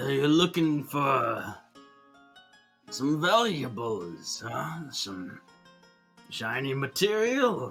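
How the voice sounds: Putting on a gravelly character voice, a man talks at a very slow pace in a fairly high pitch while faint music plays in the background.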